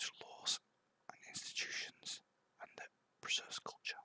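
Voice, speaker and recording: A man speaks in a whisper. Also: dry, close sound with no echo. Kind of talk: ASMR book reading. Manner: whispered.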